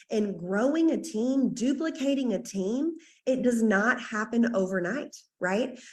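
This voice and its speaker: Somewhat breathy, a woman's voice rises and falls with lively intonation at a fairly high pitch. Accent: Southern US. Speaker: network marketing team leader. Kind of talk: team training call. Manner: fast; animated.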